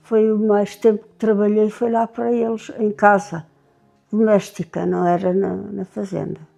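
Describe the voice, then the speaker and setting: A woman's medium-pitched, monotone, flat delivery at a fairly slow pace, with big swings in loudness and music in the background. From Portugal, A-dos-Negros (Óbidos area, Oeste). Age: 80s+. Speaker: elderly villager sharing memories. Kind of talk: oral history interview. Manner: halting, with repetitions.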